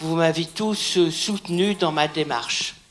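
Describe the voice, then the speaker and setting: Noticeable background noise surrounds a woman who speaks at a very slow pace. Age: 80s+. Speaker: baptism candidate. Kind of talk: testimony.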